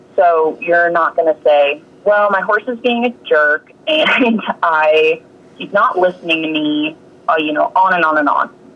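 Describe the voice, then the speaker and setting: A woman with an American accent talks at a fairly slow pace, her pitch fairly low. Her pitch variation is ordinary, and noticeable background noise is present. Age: 30s. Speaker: horse trainer and yoga instructor. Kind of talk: casual interview.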